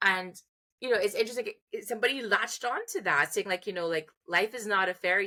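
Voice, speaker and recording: Bright, sharp tone with lively intonation at a fairly quick pace, over a very clean recording with a silent background. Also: woman. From Trinidad and Tobago. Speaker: music therapist and educator. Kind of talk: interview. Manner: hesitant, many fillers and restarts.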